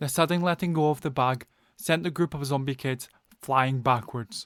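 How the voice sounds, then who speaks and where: Speaking at medium pitch with ordinary pitch variation and a Scottish accent, a man is heard in a very clean recording with a silent background. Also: dry, close sound with no echo. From Scotland. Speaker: storyteller. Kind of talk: bedtime story narration. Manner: slow, clear; calm.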